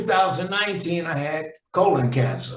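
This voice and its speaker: The speaker has an American accent and a moderate pace. Pitch varies in an ordinary way, and the room echo is audible. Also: man. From US Midwest, St. Louis. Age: 70s. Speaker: jazz trombonist and vocalist. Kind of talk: casual interview chat.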